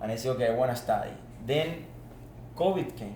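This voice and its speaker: With an Argentine accent, the speaker uses lively intonation against audible room echo. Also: man. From Argentina. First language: Spanish. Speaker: former student athlete, business manager. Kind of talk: podcast interview. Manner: animated.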